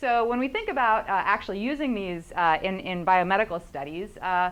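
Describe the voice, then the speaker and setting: A woman with a medium pitch speaks at a fairly quick pace with lively intonation. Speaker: professor. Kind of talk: lecture. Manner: fast; many fillers (uh, um).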